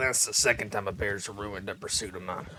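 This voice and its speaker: Putting on a character voice, a man speaks raspily at a fairly quick pace and a fairly low pitch, his intonation fairly even, with clear background noise. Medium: game stream. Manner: casual, rambling.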